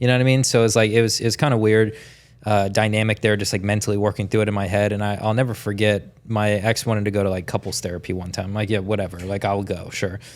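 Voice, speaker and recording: A man's fairly low voice with an American accent, very fast pace, and fairly even intonation. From Tampa, Florida. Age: 30s. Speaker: sales coach. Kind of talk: interview. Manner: casual.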